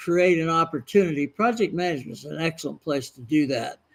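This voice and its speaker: The man speaks with ordinary pitch variation. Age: 70s. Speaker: project management consultant and trainer. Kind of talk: interview. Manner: halting, frequent uh fillers.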